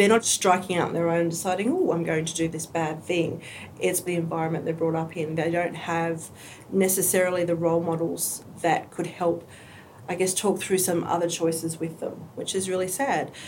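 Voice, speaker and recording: A woman with a fairly low pitch and an Australian accent speaks at a moderate pace in a monotone, flat way. Audible room echo and noticeable background noise are present. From rural New South Wales, Australia (Tamworth). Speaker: aspiring romance novelist and refugee youth mentoring coordinator. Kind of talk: casual interview.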